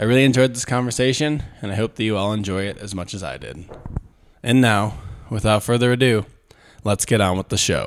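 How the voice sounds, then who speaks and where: A plain, everyday voice from a man, fairly low in pitch, at a fairly quick pace with ordinary pitch variation. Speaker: podcast host and gym coach. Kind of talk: casual chat; scripted intro.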